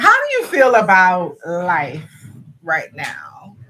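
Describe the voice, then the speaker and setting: Amid noticeable background noise, a woman speaks very slowly with very wide pitch swings. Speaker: livestream co-host. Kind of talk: casual chat. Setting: livestream.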